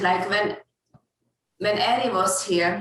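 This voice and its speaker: A woman speaks fairly slowly in a Hungarian accent. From Hungary. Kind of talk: casual chat.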